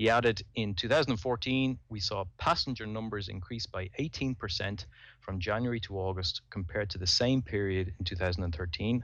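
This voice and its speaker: Over a quiet background, a man with a Dublin accent speaks at a fairly slow pace in a fairly low voice, with ordinary pitch variation and hardly any pauses. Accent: Dublin Irish. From Dublin, Ireland. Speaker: podcaster and amateur pilot. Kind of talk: casual chat.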